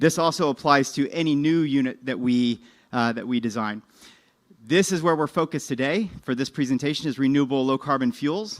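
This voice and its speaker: Recorded very cleanly against a silent background, a man speaks fairly quickly at a fairly high pitch, with ordinary pitch variation. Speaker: business development presenter for a technology licensor. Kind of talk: conference presentation. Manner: fast.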